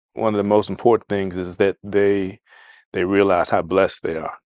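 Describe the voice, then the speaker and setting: Speaking at a moderate pace with an American accent, a man keeps a monotone, flat intonation, heard dry and close with no echo against a quiet background. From Maryland, Prince George's County. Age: 60s. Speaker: interviewee, father. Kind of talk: recorded family interview.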